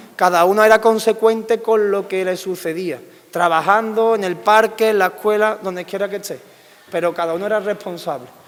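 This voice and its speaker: A man's high-pitched, fairly quick delivery with fairly even intonation, against noticeable background noise. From Andalusia, Spain. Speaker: political scientist. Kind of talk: public lecture.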